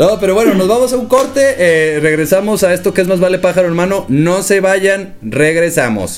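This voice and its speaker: Music plays behind a man who speaks with a slight northern Mexican accent at a high pitch, barely pausing. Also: ordinary pitch variation. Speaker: podcast host. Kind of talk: casual chat. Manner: fast.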